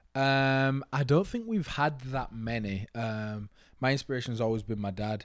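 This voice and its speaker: With an English accent, a man speaks at a medium pitch and moderate pace, his pitch varying in an ordinary way, on a very clean recording with a silent background. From northern England, near Manchester and Leeds. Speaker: college basketball player and entrepreneur. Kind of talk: casual interview chat.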